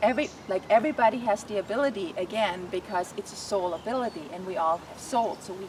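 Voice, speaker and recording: Noticeable background noise sits behind a woman with a non-native accent. She talks at a fairly quick pace with ordinary pitch variation. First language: not English. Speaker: animal communicator. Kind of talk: interview.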